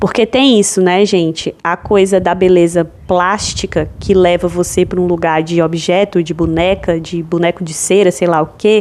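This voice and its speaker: A fairly low-pitched woman at a moderate pace with hardly any pauses, amid noticeable background noise. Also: fairly even intonation. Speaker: podcast host. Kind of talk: solo podcast monologue.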